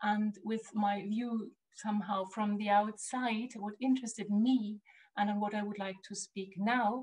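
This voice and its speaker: The voice is somewhat breathy, in a German accent. It moves at a fairly slow pace. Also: woman. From Germany. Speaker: art historian and curator. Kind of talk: lecture. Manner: halting, many fillers.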